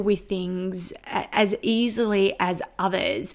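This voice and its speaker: A woman with an Australian accent at medium pitch. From Australia, Sydney northwest suburbs. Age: 40s. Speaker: podcast host, spiritual practitioner. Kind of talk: personal storytelling monologue.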